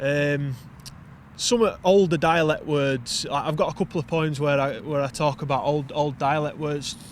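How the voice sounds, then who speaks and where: A man speaks with a Yorkshire accent. His pitch is fairly high. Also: ordinary pitch variation, moderate pace. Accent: broad Yorkshire. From Wakefield, Yorkshire, northern England. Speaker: poet and navy serviceman. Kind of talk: casual interview chat.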